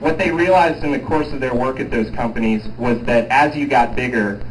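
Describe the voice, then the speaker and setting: Noticeable background noise and audible room echo fill the clip. The man's pitch varies in an ordinary way. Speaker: project manager at a renewable energy company. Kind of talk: community meeting presentation. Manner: loud.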